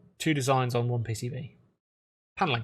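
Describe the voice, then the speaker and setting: The voice belongs to a man and sounds somewhat breathy. It sits at a medium pitch. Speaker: electronics engineer. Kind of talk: casual live stream talk. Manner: hesitant, many fillers.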